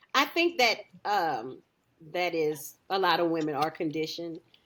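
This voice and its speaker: This is a woman's voice. She speaks loudly. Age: 40s. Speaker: podcast host. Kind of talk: casual chat. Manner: outspoken, loud.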